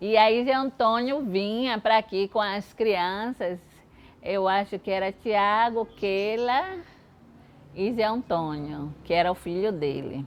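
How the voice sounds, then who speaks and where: A woman speaks very slowly at a medium pitch. Her pitch variation is ordinary. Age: 70s. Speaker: church member. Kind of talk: documentary interview.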